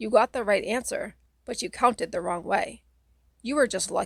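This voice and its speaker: A woman puts on a raspy character voice with a fairly high pitch. She talks at a moderate pace, and the sound is dry and close with no echo. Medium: read story. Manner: matter-of-fact, teacherly.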